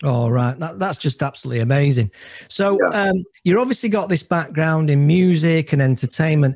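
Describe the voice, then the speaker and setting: A man's ordinary speaking voice, fairly high in pitch, with lively intonation and a fairly quick pace. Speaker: podcast host. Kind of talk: casual interview.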